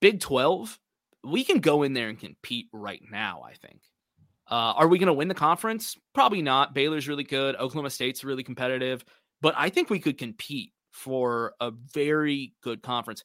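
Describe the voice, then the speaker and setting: In an ordinary speaking voice, a man talks at a moderate pace and a fairly high pitch, with ordinary pitch variation, big swings in loudness and a very clean recording with a silent background. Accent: American. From Texas. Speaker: college football podcast guest. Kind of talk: casual sports chat.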